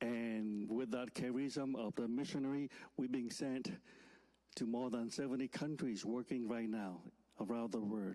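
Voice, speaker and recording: Speaking with a Vietnamese accent, a man talks at a moderate pace and medium pitch, his tone dark and mellow, his loudness very even and his intonation fairly even. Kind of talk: sermon. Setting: church. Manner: halting.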